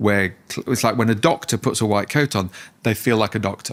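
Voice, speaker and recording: A man's unremarkable speaking voice, medium in pitch, with ordinary pitch variation and a fairly quick pace. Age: 60s. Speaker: positive psychology researcher and author. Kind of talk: podcast interview.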